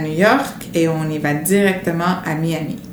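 A woman's fairly low voice with an English accent, at a fairly slow pace, with audible room echo and noticeable background noise. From United States. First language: English (speaking French). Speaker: circus artist. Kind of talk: interview testimony.

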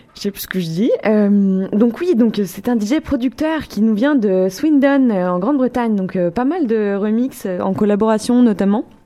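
With noticeable background noise behind her, a woman speaks at a fairly high pitch and a fairly slow pace, with lively intonation and hardly any pauses. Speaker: radio host. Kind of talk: casual chat. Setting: studio, live video. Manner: halting, many fillers and repeats.

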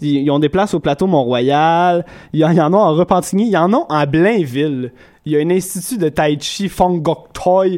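The man's voice is high-pitched, with ordinary pitch variation and very even loudness at a moderate pace. It is a very clean recording with a silent background. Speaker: podcast host. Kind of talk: casual chat.

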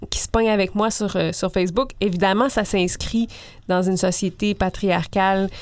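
Very clean recording of a woman, the background silent. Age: 30s. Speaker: author. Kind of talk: casual interview.

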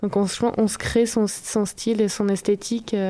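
Speech moves along at a fairly slow pace. Intonation stays flat and monotone throughout. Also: woman. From France. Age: 20s. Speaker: dancer and choreographer. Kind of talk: radio interview.

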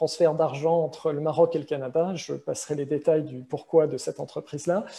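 Here a man speaks at a fairly high pitch. His tone is dark and mellow. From France. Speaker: business software consultant. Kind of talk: interview.

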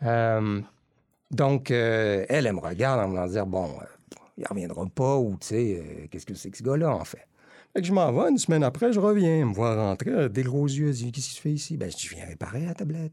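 A man with a dark, mellow tone speaks at medium pitch and a fairly quick pace, his pitch swinging very widely and his loudness shifting a lot. The recording is very clean, with a silent background. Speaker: meditation and yoga teacher. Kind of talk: casual chat. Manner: halting.

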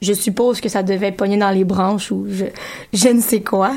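A woman talks at a moderate pace in a normal speaking voice. Her medium pitch follows a fairly even intonation. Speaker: radio columnist. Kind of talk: radio segment on community station.

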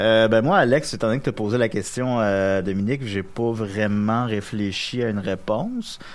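With a plain, everyday voice, a man talks at a moderate pace and medium pitch, keeping fairly even intonation and hardly any pauses. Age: 30s. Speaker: podcast co-host. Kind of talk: casual chat. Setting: studio.

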